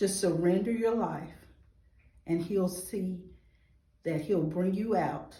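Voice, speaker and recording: Somewhat breathy and dark, mellow in tone, a woman with a Georgia accent speaks at a very slow pace with ordinary pitch variation and audible room echo. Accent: Southern American (Georgia). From US South, Atlanta, Georgia. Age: 40s. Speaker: nonprofit founder, award nominee. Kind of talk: testimony interview.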